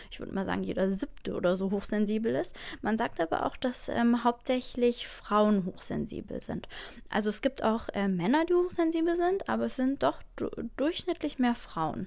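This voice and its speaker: With very wide pitch swings, a woman talks at a moderate pace in a fairly high register. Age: 30s. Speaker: podcast host. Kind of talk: casual solo talk. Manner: hesitant, many fillers.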